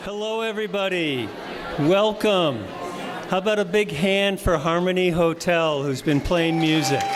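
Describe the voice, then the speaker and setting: A man's high-pitched voice at a fairly slow pace, with ordinary pitch variation and crowd noise in the background. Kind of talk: event host welcome.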